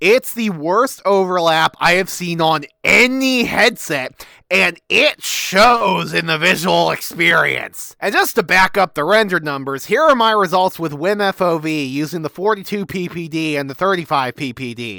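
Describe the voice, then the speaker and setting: A man shouts in a high, bright, sharp voice with lively intonation. He speaks at a fairly slow pace with hardly any pauses. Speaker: tech reviewer. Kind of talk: product review talk to camera. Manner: exaggerated shouting, ranting.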